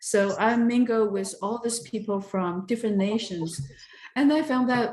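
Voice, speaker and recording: In a Taiwanese accent, a woman with a fairly high pitch speaks at a fairly slow pace. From southern Taiwan. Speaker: interviewee, engineer. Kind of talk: oral history interview. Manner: hesitant, many fillers.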